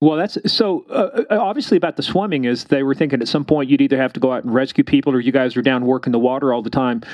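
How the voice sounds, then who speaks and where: With a Kansas accent, a man talks at a very fast pace with hardly any pauses, using lively intonation and a fairly high pitch. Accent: sounds like Kansas. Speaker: podcast host, former police officer. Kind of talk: casual interview. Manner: animated.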